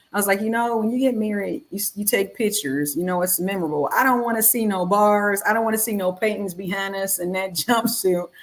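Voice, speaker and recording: A woman with an American accent talks at a very fast pace with hardly any pauses, at medium pitch and with ordinary pitch variation. The recording is very clean, with a silent background. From Detroit, US Midwest. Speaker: wife of an exonerated former prisoner. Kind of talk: casual chat.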